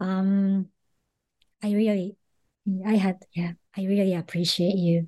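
Slowly and with little pitch movement, a woman speaks at a medium pitch in a dark, mellow tone.

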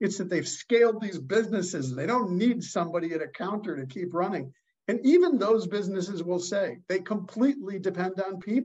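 A man speaks at a fairly quick pace in a high pitch, with ordinary pitch variation and hardly any pauses. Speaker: leadership expert and author. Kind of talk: casual interview.

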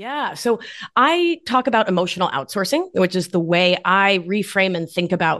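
A woman's unremarkable speaking voice at medium pitch, lively intonation, and a quiet background. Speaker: somatic life coach and nurse practitioner. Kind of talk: casual interview chat about wellness.

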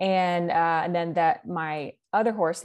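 A woman speaks with a Texan accent against a quiet background. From Texas, Dallas-Fort Worth area. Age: 20s. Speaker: western boot company content developer. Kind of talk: casual interview.

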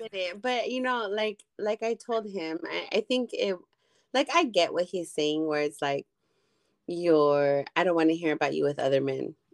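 This woman has an unremarkable speaking voice with a fairly low pitch and lively intonation. The sound is dry and close, without echo. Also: moderate pace. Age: 30s. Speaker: podcast co-host. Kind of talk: casual chat.

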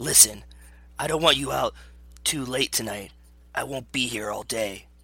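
A man does a raspy, put-on character voice at a medium pitch. He keeps a moderate pace with ordinary pitch variation. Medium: read story.

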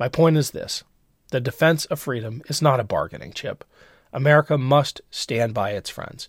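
A man speaks at a moderate pace in a fairly high, somewhat breathy voice with ordinary pitch variation. The recording is very clean and dry, close-miked with no echo against a silent background. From grew up in military family in Europe. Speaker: podcast host. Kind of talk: scripted commentary.

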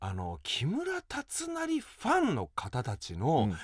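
The recording is very clean with a silent background as a man talks. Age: 40s. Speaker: actor and stage MC. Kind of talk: casual chat; scripted pep talk.

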